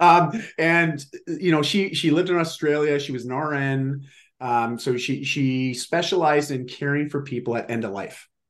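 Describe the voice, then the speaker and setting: A man speaks at a moderate pace in a fairly high pitch, with ordinary pitch variation. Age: 40s. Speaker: fitness and lifestyle coach, author. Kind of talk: casual interview. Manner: animated.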